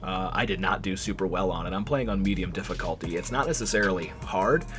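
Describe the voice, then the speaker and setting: Background noise is noticeable. Over it, a man talks fairly quickly. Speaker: video game reviewer. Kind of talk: gameplay commentary. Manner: casual with many fillers.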